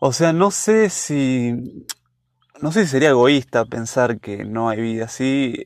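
A man with a Rioplatense accent speaks at a very slow pace. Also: medium pitch for a man, lively intonation. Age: 20s. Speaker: university student. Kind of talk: casual chat.

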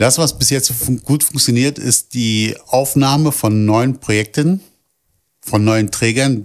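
A man with a plain, everyday voice talks at a fairly slow pace, his pitch medium and its variation ordinary. The recording is very clean, with a silent background. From Berlin (Kreuzberg). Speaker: project staff doing outreach. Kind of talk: interview.

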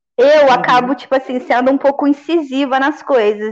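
A woman speaks at a high pitch with ordinary pitch variation. Her pace is fairly quick. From Volta Redonda, interior of Rio de Janeiro state, Brazil. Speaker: dancer. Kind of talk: casual chat.

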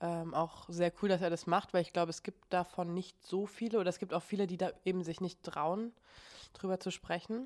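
A woman has a plain, everyday voice at medium pitch. Her intonation stays fairly even. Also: moderate pace. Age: 20s. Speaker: podcast host. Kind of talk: casual chat.

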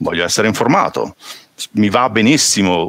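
A man speaks with noticeable background noise behind him. His sound is dry and close, without echo. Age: 40s. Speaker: open source software engineer. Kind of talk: casual chat. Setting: video call.

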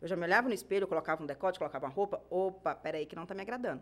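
This is a woman's voice. She talks at a very fast pace. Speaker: podcast co-host. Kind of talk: casual chat.

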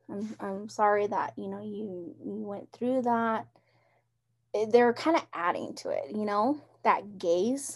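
Over a very clean recording with a silent background, a woman with an American accent speaks at a very slow pace, her loudness swinging widely. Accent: Navajo English. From Navajo Nation, Arizona (Round Rock). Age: 20s. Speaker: college program coordinator and silversmith. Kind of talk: casual interview.

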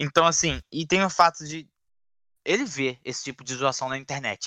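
Against a quiet background, a man talks at a fairly quick pace in a bright, sharp tone with ordinary pitch variation, the sound dry and close with no echo. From Duque de Caxias, Rio de Janeiro. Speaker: podcast panelist, football fan. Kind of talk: casual football chat.

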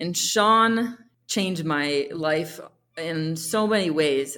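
A woman speaks with an American accent. Her voice is fairly low, with ordinary pitch variation. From US Northeast, eastern Pennsylvania. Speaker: artist and motorcycle traveler. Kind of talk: interview. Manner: halting, many fillers.

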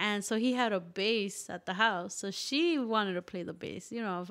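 A woman with a normal speaking voice talks at a medium pitch, with ordinary pitch variation and a moderate pace. The recording is very clean against a silent background. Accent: American. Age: 20s. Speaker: singer-songwriter and musician. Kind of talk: casual interview chat.

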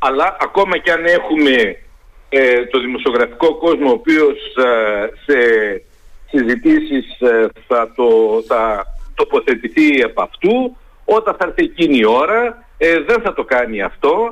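A man speaks at a fairly slow pace with long, frequent pauses, keeping his loudness very even throughout. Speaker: university professor of communication and media. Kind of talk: radio interview. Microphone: phone line dropped.

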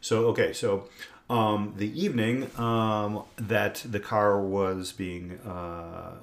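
A normal speaking voice from a man with an American accent, fairly low in pitch, with ordinary pitch variation. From Indiana. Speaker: podcast host, father of co-host. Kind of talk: casual chat.

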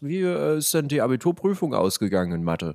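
A man speaks with very wide pitch swings. The recording is very clean with a silent background, and the sound is dry and close with no echo. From eastern Germany, Leipzig (Saxony). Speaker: podcast host. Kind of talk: casual chat.

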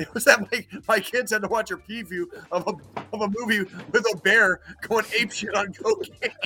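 A man's raised, projected voice at a high pitch, fairly even in intonation and moderate in pace, with music in the background. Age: 40s. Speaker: podcast co-host. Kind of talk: casual chat.

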